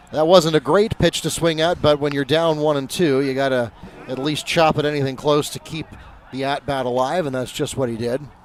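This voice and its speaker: Someone talks at a fairly quick pace with fairly even intonation against noticeable background noise. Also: man, fairly high pitch for a man. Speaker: sports commentator and public address announcer. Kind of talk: live commentary.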